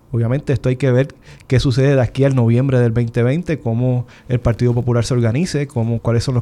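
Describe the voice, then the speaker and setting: Here a man speaks in a dark, mellow tone. His pitch is medium and his intonation fairly even. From Puerto Rico, Isabela. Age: 30s. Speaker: physician and senate candidate. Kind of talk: political panel discussion.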